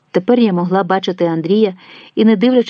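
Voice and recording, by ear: Someone reads aloud in a natural voice. The pitch rises and falls in an ordinary way.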